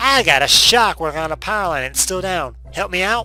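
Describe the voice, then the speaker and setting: Clear music plays behind a man doing a put-on character voice. He speaks fairly quickly at a high pitch. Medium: solo performance. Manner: cackling.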